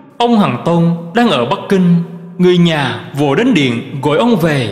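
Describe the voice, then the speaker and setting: A man with a high-pitched voice speaks very slowly, swinging widely in pitch over noticeable background noise. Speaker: Buddhist monk reading teachings. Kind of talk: reading aloud.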